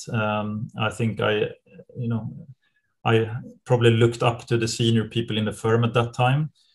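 A man speaks with a Swedish accent, somewhat breathy, at a moderate pace. His intonation is monotone and flat, over a quiet background. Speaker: private equity partner. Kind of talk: interview. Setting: video call. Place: office. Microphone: webcam.

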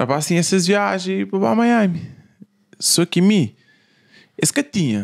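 A man talks against a quiet background. His high voice moves in very wide pitch swings. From Cape Verde, São Filipe (Fogo); Cape Verde. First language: Cape Verdean Creole (speaking Portuguese). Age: young. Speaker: musician; podcast guest. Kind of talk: casual chat. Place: studio. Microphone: studio mic.

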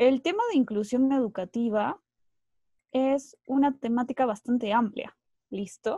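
A woman's high pitch with a dark, mellow tone, ordinary pitch variation and a fairly slow pace, in a dry sound with no echo against a quiet background. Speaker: psychologist and university lecturer. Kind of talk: lecture. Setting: video call. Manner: hesitant, many fillers. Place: home room. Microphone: earbuds.

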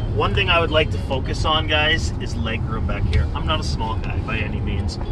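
A man talks with music in the background. The sound is dry, with no echo. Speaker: car salesperson. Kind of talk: product walkaround commentary. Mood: upbeat, joking. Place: car.

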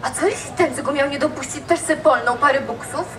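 A woman with a Kraków accent speaks at a high pitch over light background noise. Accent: Kraków rural dialect. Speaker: storyteller in dialect contest. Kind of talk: humorous dialect monologue on stage. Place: stage.

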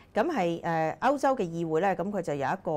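This woman talks at a moderate pace in a fairly low voice. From Hong Kong. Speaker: political commentator; political commentary host. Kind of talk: political commentary monologue; commentary. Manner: frequent fillers and hesitations. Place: studio. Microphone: lapel.

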